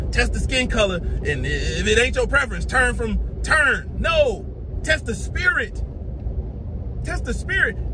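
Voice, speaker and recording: A man talks at a fairly slow pace, with noticeable noise in the background. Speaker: religious video preacher. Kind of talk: angry sermon-style rant, scolding and preaching with heated indignation. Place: car. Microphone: phone near.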